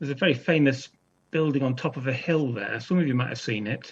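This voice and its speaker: A somewhat breathy man at a medium pitch and a fairly quick pace. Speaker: children's author. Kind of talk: author talk to school pupils. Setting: video call. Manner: fast.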